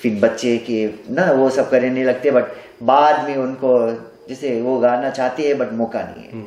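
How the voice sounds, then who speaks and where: A man's medium-pitched voice with fairly even intonation, against noticeable background noise. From Nadi, Fiji. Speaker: stage singer. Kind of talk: interview answer.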